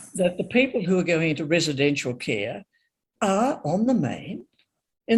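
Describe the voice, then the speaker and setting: A woman with an Australian accent, somewhat breathy at medium pitch, with very wide pitch swings and a moderate pace. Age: 80s. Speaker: panelist, former public servant in aged care policy. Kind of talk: panel discussion. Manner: hesitant, with fillers.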